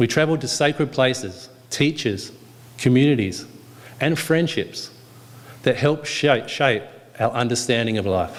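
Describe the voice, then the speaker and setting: With an Australian accent, a man talks at a moderate pace in a medium pitch. Long, frequent pauses break up his speech. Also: ordinary pitch variation. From Western Australia. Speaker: yoga speaker. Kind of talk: speech at a yoga day event. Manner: calm, reflective.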